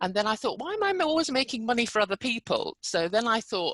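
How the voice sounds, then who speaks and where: A woman speaks at a fairly quick pace. Her pitch swings very widely. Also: dry, close sound with no echo. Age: 60s. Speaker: entrepreneur. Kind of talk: podcast interview.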